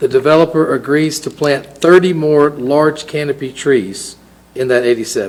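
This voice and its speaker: In a Southern US accent, a man speaks at a fairly high pitch. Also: ordinary pitch variation, moderate pace. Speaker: city council member. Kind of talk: council meeting motion reading. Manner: formal.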